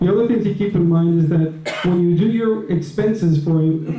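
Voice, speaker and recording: High-pitched male speech with fairly even intonation, audible room echo and noticeable background noise. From New York. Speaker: property manager. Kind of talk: meeting report. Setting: board meeting with audience. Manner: fast.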